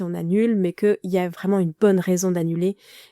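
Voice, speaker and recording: A woman's dark, mellow voice at medium pitch and moderate pace, fairly even in intonation, dry and close with no echo, on a very clean recording with a silent background. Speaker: podcast host, menstrual pain coach. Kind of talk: solo podcast monologue. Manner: hesitant, many fillers.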